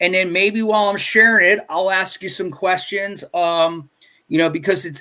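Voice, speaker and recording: In a raised, projected voice, a man with a New York accent speaks at a high pitch with a bright, sharp tone and ordinary pitch variation in a very clean recording with a silent background. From New York City (Staten Island). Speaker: comic book creator and stream host. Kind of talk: casual livestream interview. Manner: animated.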